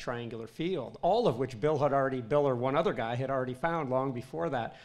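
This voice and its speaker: A man talks at a fairly quick pace. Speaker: historian and panel moderator; panel moderator. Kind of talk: panel discussion. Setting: stage with audience. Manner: joking, playful. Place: hall.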